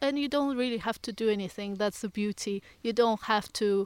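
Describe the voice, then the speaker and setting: A woman with a Russian accent, fairly high pitch, moderate pace, dry close sound without echo, and a very clean recording with a silent background. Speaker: forest bathing guide and yoga teacher. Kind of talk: interview conversation. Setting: outdoors in woodland.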